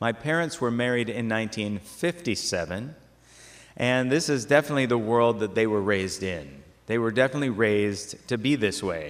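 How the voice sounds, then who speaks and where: A man talks at a fairly quick pace with lively intonation and a medium pitch. It is an ordinary speaking voice. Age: 50s. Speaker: parish talk presenter. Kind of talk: lecture. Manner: conversational.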